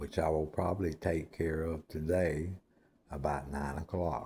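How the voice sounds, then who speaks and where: A man's very deep, low voice, somewhat breathy and dark, mellow in tone, with fairly even intonation at a fairly slow pace, on a very clean recording with a silent background. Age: 60s. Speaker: former prisoner telling his life story. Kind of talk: personal monologue. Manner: repetitive.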